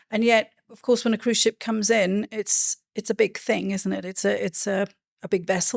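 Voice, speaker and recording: A Welsh accent at a fairly quick pace, with monotone, flat intonation and a dry, close sound with no echo. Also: woman. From Wales. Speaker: podcast host, cruise industry advisor. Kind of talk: interview.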